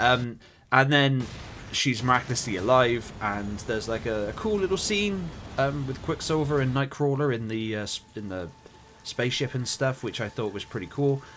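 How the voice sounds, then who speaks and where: With a West Country accent, a man of medium pitch speaks at a moderate pace with lively intonation over noticeable background noise. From West Country, England. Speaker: film reviewer. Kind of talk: casual film review monologue. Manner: halting, many fillers.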